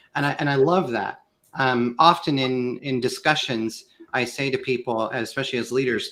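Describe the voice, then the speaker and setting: In an American accent, a man talks at a moderate pace with a medium pitch, fairly even intonation and a bright, sharp tone. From US Midwest, Kansas. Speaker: sales consultant, guest expert. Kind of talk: live panel discussion. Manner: hesitant repetitions.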